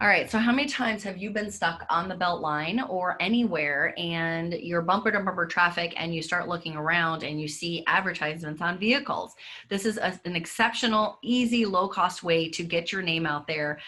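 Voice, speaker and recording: A woman's fairly low-pitched voice, bright and sharp in tone, with ordinary pitch variation and hardly any pauses. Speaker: graphic design business owner, workshop presenter. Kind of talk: presentation. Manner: fast.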